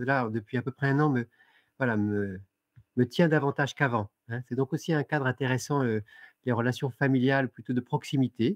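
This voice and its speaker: Delivered at a fairly quick pace with ordinary pitch variation, the speech has a dry, close sound with no echo against a quiet background. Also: man. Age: 60s. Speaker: author and lecturer. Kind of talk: interview. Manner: halting, many hesitations.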